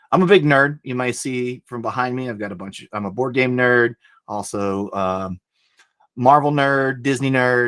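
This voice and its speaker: A medium-pitched man in a Southern US accent, moderate pace, ordinary pitch variation and big swings in loudness. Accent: Southern twang. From US South, Alabama. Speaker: board game designer and publisher. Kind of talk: talk to students. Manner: casual, many filler words.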